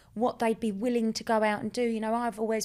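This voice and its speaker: Someone speaks at a very fast pace in an Essex accent. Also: woman. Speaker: life coach and hypnotist. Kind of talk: podcast interview. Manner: animated.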